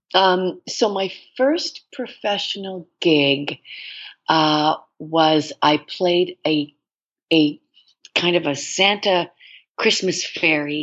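With a Canadian accent, a woman speaks very slowly at a fairly low pitch, using ordinary pitch variation and long, frequent pauses. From Canada (Toronto). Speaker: actress. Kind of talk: interview.

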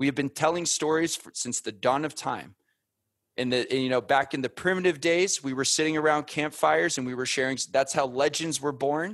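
A man with an American accent and a fairly high pitch, a normal speaking voice, ordinary pitch variation and a fairly quick pace, over a quiet background. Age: 30s. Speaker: former Marine turned podcast media founder. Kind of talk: interview conversation.

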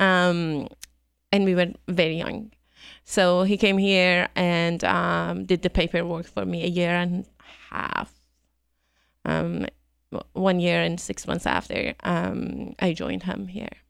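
Very slowly, a woman with a Persian accent speaks in a very clean recording with a silent background. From Iran. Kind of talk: casual interview. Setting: studio.

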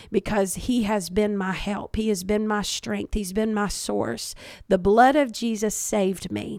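A woman with a Kentucky accent, medium pitch, fairly even intonation and a fairly slow pace. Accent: Southern US (Kentucky). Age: 40s. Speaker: pastor. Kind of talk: interview conversation about faith.

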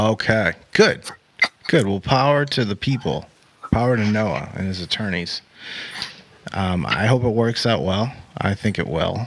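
Against noticeable background noise, a man with a fairly low pitch speaks at a fairly slow pace with ordinary pitch variation and long, frequent pauses. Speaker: podcast host. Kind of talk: casual interview. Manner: animated.

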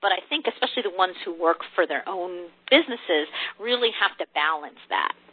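Through noticeable background noise, a woman speaks fairly quickly at a medium pitch with lively intonation. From US Northeast, New Jersey. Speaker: corporate training and coaching broker. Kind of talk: interview.

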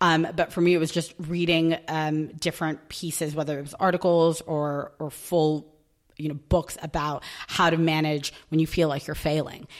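A woman with a New York accent speaks at a moderate pace, her pitch very deep and low and her intonation monotone and flat, on a very clean recording with a silent background. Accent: New York American. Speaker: recruitment team lead. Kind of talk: casual interview chat.

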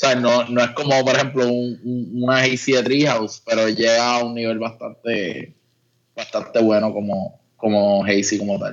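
A man talks in a plain, everyday voice at a medium pitch. His pace is moderate and his intonation fairly even. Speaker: craft brewer. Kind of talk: casual chat.

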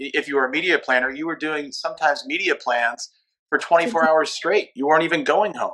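At a fairly quick pace, this is an unremarkable speaking voice with ordinary pitch variation. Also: man. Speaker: media company founder. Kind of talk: panel discussion. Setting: remote call.

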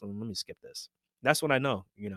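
A man with an American accent speaks at a very fast pace in a dry, close sound with no echo, on a very clean recording with a silent background. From US Northeast (Queens, New York). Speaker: general surgeon and podcast host. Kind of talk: casual interview chat.

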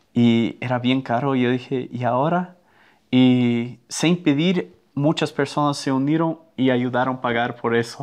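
With a slight Brazilian accent, a man speaks at a fairly slow pace with fairly even intonation. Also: medium pitch for a man. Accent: Spanish with a Brazilian Portuguese touch. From Brazil (Amazon river mouth), American family. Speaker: missionary. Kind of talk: casual chat.

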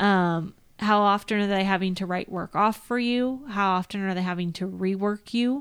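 A woman with an American accent, medium pitch, fairly even intonation and a moderate pace, with hardly any pauses, on a very clean recording with a silent background. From Northern California. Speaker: field service manager in the equipment trade. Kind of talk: casual chat. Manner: talkative.

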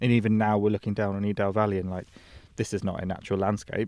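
Rushing at a very fast pace, a man speaks in a fairly low, monotone, flat voice. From rural Norfolk, England. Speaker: leather craftsman. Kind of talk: interview conversation. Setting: outdoors on a hillside.

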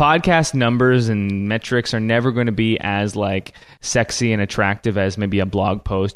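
With a Canadian accent, a man uses a normal speaking voice, fairly low in pitch, moving at a fairly quick pace with fairly even intonation. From Canada. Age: 20s. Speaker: church media business founder. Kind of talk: interview.

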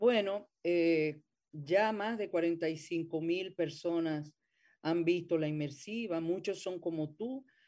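Against a quiet background, a woman talks very slowly in a dark, mellow tone. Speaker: theatre actress and director. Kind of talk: interview.

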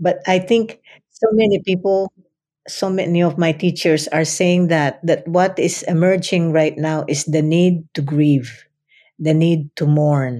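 Her tone is dark and mellow, with ordinary pitch variation. The woman speaks at a fairly slow pace. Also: fairly low pitch for a woman. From Philippines (Central Luzon, Kapampangan). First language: Kapampangan / Filipino. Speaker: retired professor. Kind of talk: interview. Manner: halting, with repetitions.

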